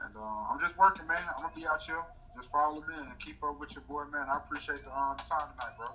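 Noticeable background noise sits behind a man speaking at a very fast pace with a fairly high pitch. His loudness swings widely while his pitch varies in an ordinary way. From North Carolina. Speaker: comedian and morning radio host. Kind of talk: casual interview.

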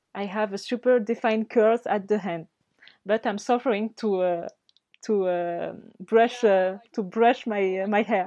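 A woman with a French accent, dark and mellow in tone, at a fairly slow pace with fairly even intonation, in a dry, close sound with no echo against a quiet background. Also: medium pitch for a woman. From Mayotte. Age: 20s. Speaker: beauty pageant winner. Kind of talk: interview. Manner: halting.

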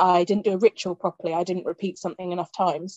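A woman is speaking. She has a British accent. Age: 30s. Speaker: podcast host. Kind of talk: casual chat.

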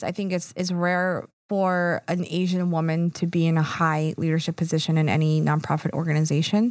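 With an American accent and a normal speaking voice, a woman talks at a fairly quick pace and fairly low pitch with fairly even intonation and hardly any pauses, in a very clean recording with a silent background. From Philadelphia. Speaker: nonprofit advocacy executive. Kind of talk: casual interview.

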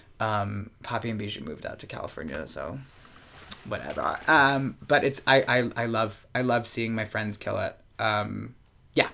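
A man with an American accent speaks at a moderate pace and medium pitch, with lively intonation. His tone is bright and sharp, with vocal fry. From US Mid-Atlantic, Baltimore. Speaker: drag performer. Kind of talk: casual chat. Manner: halting, many fillers.

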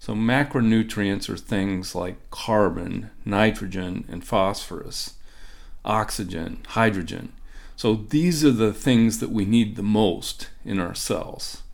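Very slow speech with ordinary pitch variation carries audible room echo. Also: man, fairly low pitch for a man. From Ohio, US Midwest. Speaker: professor. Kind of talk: interview.

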